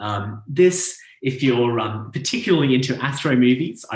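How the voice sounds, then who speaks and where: Audible room echo surrounds a man with an Australian accent. He talks at a moderate pace with a medium pitch and ordinary pitch variation. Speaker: astronomer. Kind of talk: public lecture. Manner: hesitant, many fillers.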